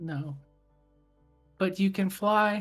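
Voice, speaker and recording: A squeaky, put-on character voice at a middle pitch, with faint music in the background. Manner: anxious, pleading.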